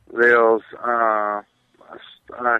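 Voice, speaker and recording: A man with a Scottish accent speaks at a medium pitch. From Scotland, Glasgow. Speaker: soccer journalist. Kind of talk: radio interview. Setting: phone call.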